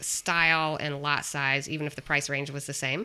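A woman speaks fairly slowly with a very deep, low pitch and a bright, sharp tone. Her intonation stays fairly even in a very clean recording with a silent background. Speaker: podcast host and realtor. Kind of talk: casual chat.

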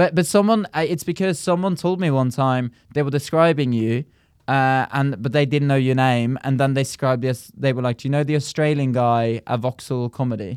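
In a very clean recording with a silent background, a man with a southern English accent speaks fairly quickly at a medium pitch with ordinary pitch variation. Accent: southern English, almost RP. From rural Norway. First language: Norwegian. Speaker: comedian. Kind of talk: casual chat.

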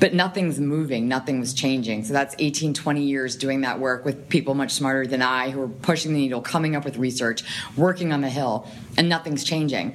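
This woman has a very deep, low pitch with ordinary pitch variation. She talks at a fairly quick pace. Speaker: nonprofit communications professional. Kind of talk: casual interview conversation. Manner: fast talker.

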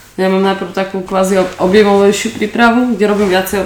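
Amid audible room echo and noticeable background noise, a woman talks at a moderate pace and medium pitch. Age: 30s. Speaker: powerlifter. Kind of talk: interview. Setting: studio.

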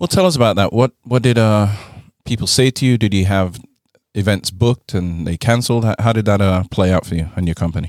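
An unremarkable speaking voice moves at a fairly quick pace, with a dry, close sound and no echo. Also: man, fairly low pitch for a man, ordinary pitch variation. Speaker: podcast co-host and restaurant owner. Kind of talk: casual interview chat.

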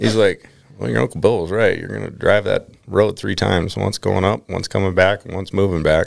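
This man has a fairly low pitch, vocal fry, and an American accent. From Minnesota. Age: 30s. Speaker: fly fisherman. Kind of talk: casual chat.

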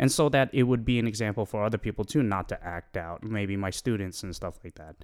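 The voice shows big swings in loudness and ordinary pitch variation, with hardly any pauses, on a very clean recording with a silent background. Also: man, fairly low pitch for a man. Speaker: guest, longtime friend and musician. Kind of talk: casual chat.

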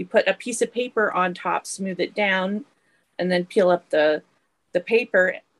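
The voice moves at a moderate pace with ordinary pitch variation. The sound is dry and close, without echo. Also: woman, medium pitch for a woman. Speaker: artist and author. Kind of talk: interview conversation. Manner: animated, enthusiastic.

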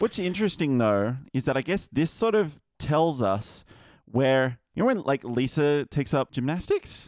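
A plain, everyday voice with lively intonation goes at a fairly slow pace, with dry, close sound, no echo, and a very clean recording over a silent background. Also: man, fairly high pitch for a man. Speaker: podcast guest reviewer. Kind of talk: casual chat. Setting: studio.

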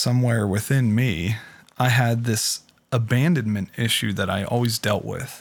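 Speaking at a fairly slow pace and medium pitch, a man with an American accent uses an ordinary speaking voice in a very clean recording with a silent background. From Pittsburgh, US. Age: 30s. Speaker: former addict sharing recovery story. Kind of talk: testimony.

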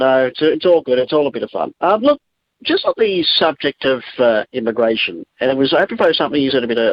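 The speaker talks at a fairly quick pace. The accent is Australian. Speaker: talkback caller. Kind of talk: talkback call. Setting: phone call.

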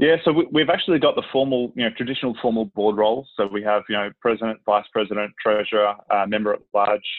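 A man with an Australian accent and a fairly low pitch, speaking very fast with hardly any pauses and ordinary pitch variation. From Melbourne, Australia. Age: 30s. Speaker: sports club president. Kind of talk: casual chat.

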